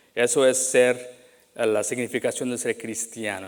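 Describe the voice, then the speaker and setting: A man at a medium pitch and a fairly slow pace. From Latin America, moved to US young. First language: English now dominant; Spanish rusty (speaking Spanish). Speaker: pastor. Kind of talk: sermon. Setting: church. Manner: halting, many fillers and restarts.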